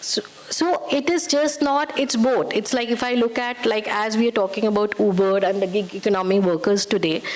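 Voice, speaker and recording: A woman talks at a moderate pace with lively intonation and very even loudness over noticeable background noise. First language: not English or Hindi. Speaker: UN women's rights expert. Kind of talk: panel discussion. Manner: halting, code-switching.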